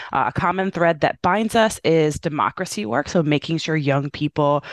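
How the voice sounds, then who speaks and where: With an American accent, a woman of very deep, low pitch speaks at a moderate pace with lively intonation in a dry, close sound with no echo. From Indiana, US Midwest. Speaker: youth voting organization executive. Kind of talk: interview.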